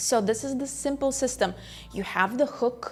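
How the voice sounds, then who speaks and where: A woman at a moderate pace, with ordinary pitch variation. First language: not English. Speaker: business coach and entrepreneur. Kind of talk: online business tutorial.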